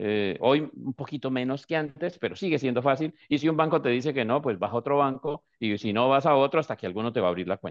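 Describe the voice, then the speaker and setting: A man rushes along at a very fast pace with hardly any pauses. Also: medium pitch for a man, ordinary pitch variation. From Colombia. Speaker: business immigration consultant. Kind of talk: explanatory talk on a live stream. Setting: online live video stream.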